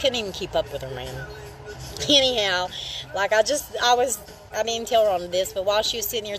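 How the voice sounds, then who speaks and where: Noticeable background noise accompanies a fairly quick delivery in a strong Appalachian accent. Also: woman. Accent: strong regional Appalachian. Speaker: livestreamer. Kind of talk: casual livestream chat. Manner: casual, rambling with fillers.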